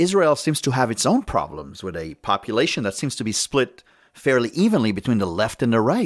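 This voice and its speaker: A man's voice with vocal fry swings very widely in pitch on a very clean recording with a silent background. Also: medium pitch for a man, fairly quick pace. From immigrant, came to US at thirteen. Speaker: podcast host. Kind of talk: interview.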